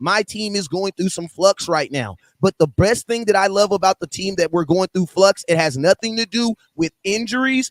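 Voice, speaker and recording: Dry and close with no echo, a man speaks in a high pitch with an animated tone and ordinary pitch variation. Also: moderate pace. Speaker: Cowboys fan, football podcaster. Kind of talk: heated debate.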